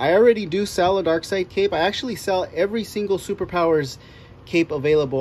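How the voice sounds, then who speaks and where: A man is heard over light background noise. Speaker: reviewer. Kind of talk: casual review chat. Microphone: phone near.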